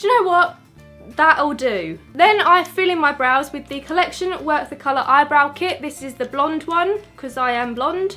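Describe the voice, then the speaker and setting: A woman speaks in a raised, projected voice at a moderate pace. Her loudness swings widely over faint music in the background. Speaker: beauty vlogger. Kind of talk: tutorial. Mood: light, joking. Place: home room. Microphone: phone near.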